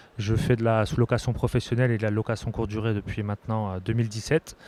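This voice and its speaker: A man is speaking. His pace is very fast. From Bourgogne-Franche-Comté, France. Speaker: short-term rental trainer, content creator. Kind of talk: panel discussion. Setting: stage with audience at trade show.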